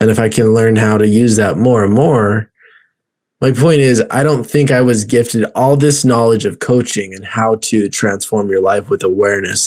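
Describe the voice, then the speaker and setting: This ordinary speaking voice moves at a moderate pace, its pitch varying in an ordinary way. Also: man. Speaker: life coach and podcast host. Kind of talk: casual podcast conversation.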